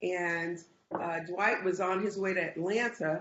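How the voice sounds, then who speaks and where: A woman's ordinary speaking voice, medium in pitch and fairly even in intonation, at a fairly slow pace. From South Florida, US (born in Nassau, Bahamas). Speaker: realtor. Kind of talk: casual interview.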